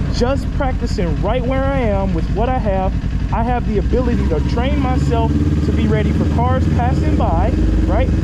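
A man at a moderate pace against loud background noise. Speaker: motorcycle riding instructor. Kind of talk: tutorial. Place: motorbike. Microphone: helmet.

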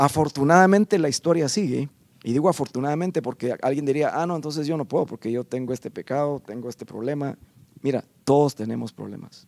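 Here a man talks at a very fast pace. His pitch is fairly high, with ordinary variation. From Guatemala. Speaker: guest worship leader. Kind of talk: interview. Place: studio. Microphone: handheld.

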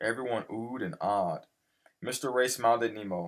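Against quiet surroundings, the text is read aloud in a natural voice.

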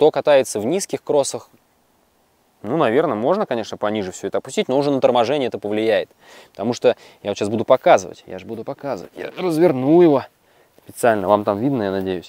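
A man talks at a very fast pace with lively intonation, broken by long, frequent pauses. His tone is dark and mellow, and the sound is dry with no echo. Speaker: video blogger reviewing electric unicycles; unicycle rider reviewer. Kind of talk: casual product review vlog. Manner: animated. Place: forest.

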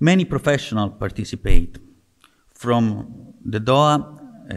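Against a quiet background, a man speaks at a fairly slow pace with lively intonation. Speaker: presenter. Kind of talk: conference talk. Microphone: podium.

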